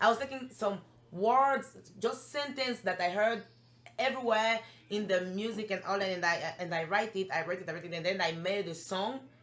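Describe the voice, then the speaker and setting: With a French accent, a woman speaks at a medium pitch in an animated tone. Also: moderate pace. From Gabon. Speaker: recording artist. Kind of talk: interview. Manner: halting.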